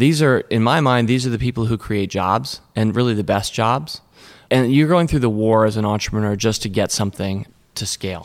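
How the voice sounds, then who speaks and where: Energetic in tone, a man with a Mid-Atlantic US accent speaks fairly quickly at a medium pitch with ordinary pitch variation. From Washington, D.C. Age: 50s. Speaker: investor and company co-founder. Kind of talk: interview conversation.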